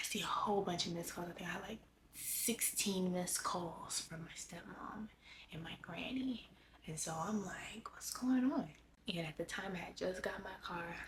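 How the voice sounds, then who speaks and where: Somewhat breathy, a woman talks at a fairly slow pace in an American accent. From Los Angeles, California. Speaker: lifestyle vlogger. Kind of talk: personal life update vlog. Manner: halting.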